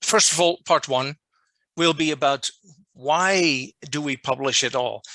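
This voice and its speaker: A man with a Dutch accent speaks in a bright, sharp tone at a fairly high pitch with ordinary pitch variation, on a very clean, dry, close recording with no echo and a silent background. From Netherlands. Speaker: journal editor giving a workshop. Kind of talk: lecture. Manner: deliberately not too fast.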